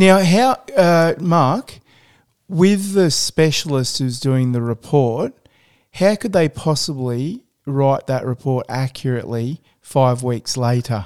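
A man with an Australian accent speaks at a very slow pace and a fairly high pitch, his intonation lively. The recording is very clean, with a silent background. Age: 50s. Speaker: podcast host. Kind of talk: interview.

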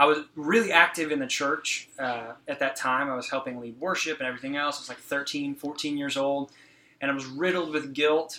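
Fairly high in pitch and bright and sharp in tone, a man with an American accent speaks at a moderate pace with fairly even intonation and big swings in loudness. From Texas, Fort Worth area. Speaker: youth pastor. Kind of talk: casual chat.

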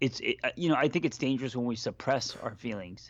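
A man speaks in an unremarkable speaking voice at a medium pitch. His pitch variation is ordinary, and the background is quiet. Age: 40s. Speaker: therapist and life coach. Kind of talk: casual chat.

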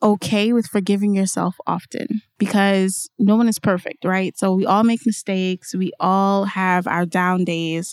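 In a New Jersey accent, a woman talks at a fairly slow pace. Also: very clean recording, silent background. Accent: New Jersey American. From Newark, New Jersey (Trinidadian family). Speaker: tech industry academic relations manager. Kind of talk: interview.

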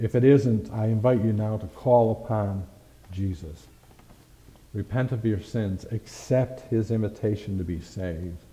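Fairly low pitch and a fairly slow pace from a man in an ordinary speaking voice, with ordinary pitch variation. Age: 60s. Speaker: pastor. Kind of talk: sermon. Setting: church.

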